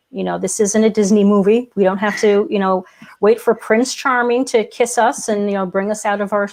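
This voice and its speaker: This is a normal speaking voice with fairly even intonation, delivered at a moderate pace. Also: woman. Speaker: podcast co-host, copywriter. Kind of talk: casual interview chat.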